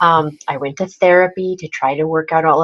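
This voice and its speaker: A woman with an American accent speaks at a very deep, low pitch. Her moderate pace comes with monotone, flat intonation. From US Midwest, northern Wisconsin. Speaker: personal brand strategist and speaker coach. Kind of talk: interview.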